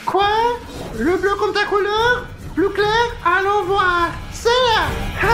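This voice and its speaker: Over loud background noise, a put-on character voice moves at a very slow pace with long, frequent pauses. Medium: fan dub. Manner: playful, chatty, laughing often.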